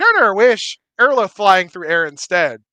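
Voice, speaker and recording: A man uses a put-on character voice at a high pitch. His pace is moderate. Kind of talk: simple broken speech in third person. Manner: goofy, stupid-sounding.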